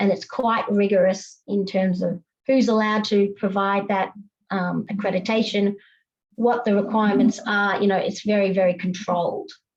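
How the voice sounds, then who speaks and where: Somewhat breathy, a woman speaks in an Australian accent with monotone, flat intonation and very even loudness. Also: medium pitch for a woman. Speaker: compliance consultant. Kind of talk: panel presentation. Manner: fast.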